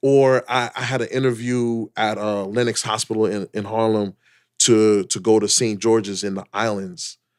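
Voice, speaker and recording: This is an unremarkable speaking voice, a man with an American accent at a fairly low pitch, talking at a moderate pace with fairly even intonation. The sound is dry and close with no echo, on a very clean recording with a silent background. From New York (Queens). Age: 40s. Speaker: dentist. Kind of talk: casual interview conversation.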